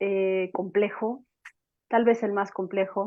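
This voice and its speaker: A woman speaks at a very slow pace. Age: 40s. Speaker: psychologist. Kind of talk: panel talk.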